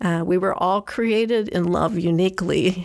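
At a fairly slow pace, a woman speaks in a medium pitch. Her voice has vocal fry and ordinary pitch variation. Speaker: church volunteer speaker. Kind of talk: prepared talk. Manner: halting.

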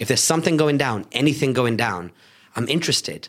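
A man talking at a very fast clip, medium in pitch, with an animated tone and lively intonation. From Salford, Greater Manchester, England. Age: 30s. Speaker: entrepreneur and business speaker. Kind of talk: interview. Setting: studio.

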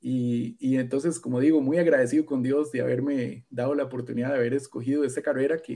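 With fairly even intonation, a man speaks at a moderate pace in a fairly high, dark, mellow voice. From Costa Rica, Central Valley near Alajuela. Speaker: forestry engineer and university professor. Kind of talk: interview. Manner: halting, many fillers and repetitions.

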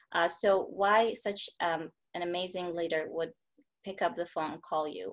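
A woman with an ordinary speaking voice, fairly low in pitch, at a moderate pace with fairly even intonation. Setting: online video call.

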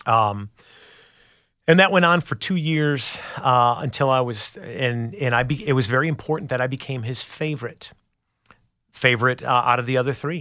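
A man with a bright, sharp tone talks at a medium pitch and moderate pace, with ordinary pitch variation and long, frequent pauses, on a very clean recording with a silent background. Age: 40s. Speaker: recovery sponsor. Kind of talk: testimony. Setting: studio.

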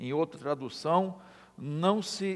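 Speaking at a very slow pace, a man has a fairly high pitch. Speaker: pastor. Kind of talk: sermon. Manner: halting.

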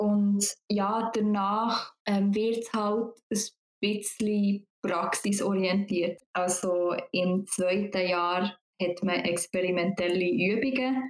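Speaking at a very slow pace, a woman at medium pitch keeps very even loudness and fairly even intonation. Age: 20s. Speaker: psychology student. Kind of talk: interview. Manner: hesitant, many fillers.

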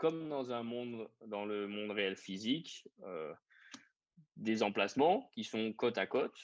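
With a medium pitch and ordinary pitch variation, a man speaks at a fairly slow pace. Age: 30s. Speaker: startup co-founder and executive. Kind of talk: interview. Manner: halting, many fillers and repetitions.

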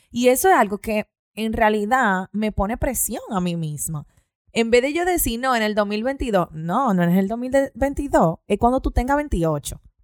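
A woman's fairly high voice at a fairly slow pace, with very wide pitch swings and a dry, close sound with no echo. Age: 20s. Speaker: podcast host. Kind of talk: casual chat.

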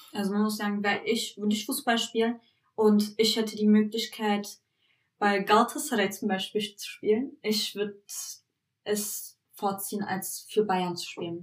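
A woman with a fairly high, somewhat breathy voice speaks at a moderate pace and with fairly even intonation. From Berlin, Germany (Turkish family). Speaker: podcast co-host. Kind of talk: casual chat.

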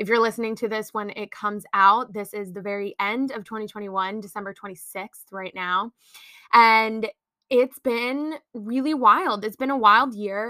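At a moderate pace, a woman with a fairly high pitch and a bright, sharp tone speaks with big swings in loudness, the sound dry and close with no echo on a very clean recording with a silent background. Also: ordinary pitch variation. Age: 20s. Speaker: podcaster and small business owner. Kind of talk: casual monologue. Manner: free-flowing, unscripted.

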